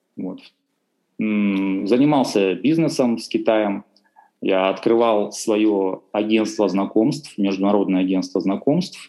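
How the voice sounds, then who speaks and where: Very slowly, a man speaks in a fairly low voice with a dark, mellow tone and ordinary pitch variation. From Russian Far East, Khabarovsk. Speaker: language teacher and interpreter. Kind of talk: casual interview.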